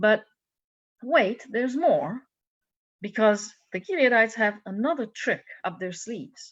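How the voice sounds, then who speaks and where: A woman with a Hungarian accent, fairly high in pitch, with lively intonation, a fairly slow pace and long, frequent pauses. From Hungary. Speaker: minister. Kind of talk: sermon. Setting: church service. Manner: animated storytelling.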